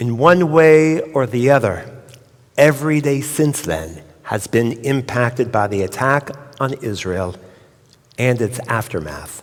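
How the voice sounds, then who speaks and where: This is an ordinary speaking voice at a fairly slow pace. Its intonation is lively. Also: man, medium pitch for a man. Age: 60s. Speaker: rabbi. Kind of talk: sermon.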